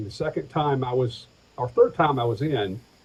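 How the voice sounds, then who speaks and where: Somewhat breathy, this man's medium-pitched voice shows ordinary pitch variation. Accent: American. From Atlanta, Georgia, USA. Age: 50s. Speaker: pastor, insurance agent and stand-up comedian. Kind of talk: interview answer.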